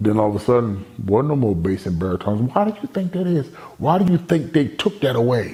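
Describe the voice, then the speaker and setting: This loud man talks at a fairly quick pace with an American accent. His medium-pitched voice swings very widely in pitch. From Baltimore, Maryland. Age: 50s. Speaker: motivational speaker. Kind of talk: personal testimony. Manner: animated.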